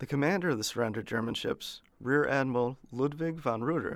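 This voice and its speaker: He has a normal speaking voice, pitched at medium. The man talks fairly quickly, his pitch varying in an ordinary way. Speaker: history podcast host. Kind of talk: history documentary narration, scripted and read aloud. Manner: formal, steady, measured; even and authoritative, little emotion.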